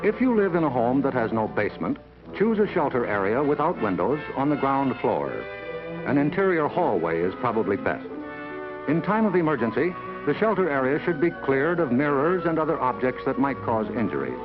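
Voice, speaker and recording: A man with an American accent speaks at a fairly quick pace and a fairly high pitch, with very wide pitch swings and very even loudness. Music plays in the background. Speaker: newsman narrator. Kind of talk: documentary narration. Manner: measured.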